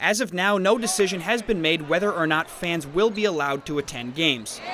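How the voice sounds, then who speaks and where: High-pitched and lively in his intonation, a man talks at a fairly quick pace. Noticeable background noise runs underneath. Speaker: sports reporter. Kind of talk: TV news sports package voice-over.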